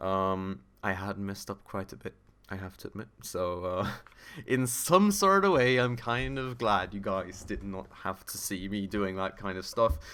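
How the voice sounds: A man speaks fairly slowly at a fairly low pitch, his tone clear, smooth, bright and sharp, and his intonation fairly even.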